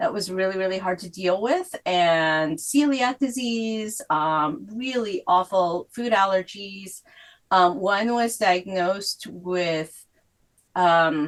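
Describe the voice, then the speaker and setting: Speaking at a very slow pace, a woman talks with a Korean accent. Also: medium pitch for a woman, ordinary pitch variation. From South Korea, moved to US at eleven. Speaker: author. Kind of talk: interview.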